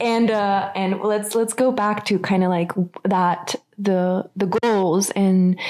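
A woman speaks at a medium pitch with a slightly mellow tone. Her intonation stays fairly even.

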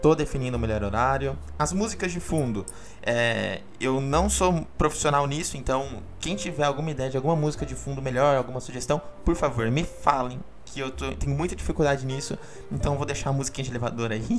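A man talks at a fairly quick pace with a Brazilian accent. His voice sits at medium pitch with ordinary pitch variation. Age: 20s. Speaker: podcast host. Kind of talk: solo podcast monologue. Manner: halting.

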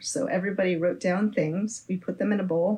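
A woman with an American accent speaks at a moderate pace in a somewhat breathy, dark, mellow voice, her pitch fairly low with ordinary variation. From San Francisco Bay Area, California. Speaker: musician. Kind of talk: interview.

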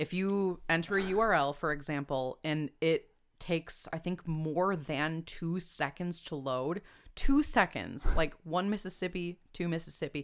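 On a very clean recording with a silent background, a woman talks with an American accent. She has a normal speaking voice, a fairly low pitch and ordinary pitch variation. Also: fairly slow pace. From Chicago suburbs, Illinois. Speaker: copywriter and food writer. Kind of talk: casual interview.

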